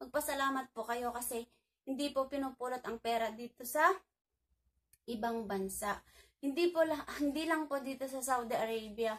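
A woman talks at a moderate pace in a high voice with ordinary pitch variation, the background quiet. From Philippines. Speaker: overseas worker vlogger. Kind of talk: vlog monologue. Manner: stumbling over words. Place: home room. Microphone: phone near.

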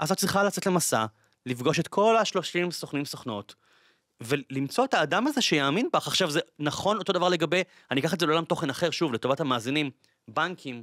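A man's fairly high voice with lively intonation at a fairly quick pace, a dry sound with no echo and a quiet background. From Israel, Bat Yam; Israel. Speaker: podcast host. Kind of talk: interview conversation. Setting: studio. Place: studio. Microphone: studio mic.

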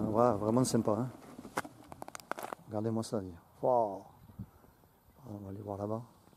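A man speaks fairly slowly at a fairly low pitch with monotone, flat intonation, long, frequent pauses and big swings in loudness. The sound is dry with no echo, but noticeable background noise is present. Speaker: vlogger testing a camera while riding an electric unicycle. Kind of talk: casual vlog commentary. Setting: outdoors riding on trails. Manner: halting, many hesitations. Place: open country.

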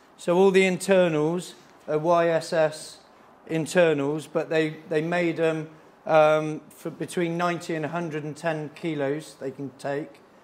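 A man talks in a flat monotone. His pace is fairly slow. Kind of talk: casual explanation. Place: workshop.

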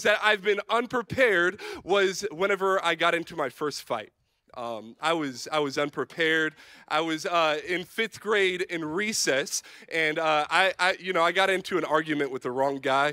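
A man at a moderate pace, bright and sharp in tone, dry with no echo, over a quiet background. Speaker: youth pastor. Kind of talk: sermon. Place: stage. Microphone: handheld.

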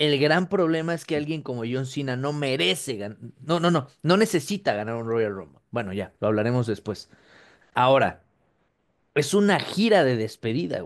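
In a Mexican accent, a man speaks at a medium pitch and moderate pace with very wide pitch swings against a quiet background. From Mexico. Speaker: wrestling podcast co-host. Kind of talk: casual chat. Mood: joking, laughing. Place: home room. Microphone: webcam.

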